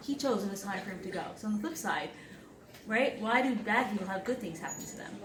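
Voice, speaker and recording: Over noticeable background noise and audible room echo, a woman talks at a very fast pace with fairly high pitch, ordinary pitch variation and big swings in loudness. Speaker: speaker sharing personal story. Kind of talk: presentation to audience.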